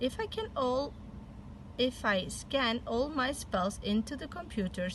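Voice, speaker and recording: A woman's high-pitched, put-on character voice at a fairly slow pace over clear background noise. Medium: read story.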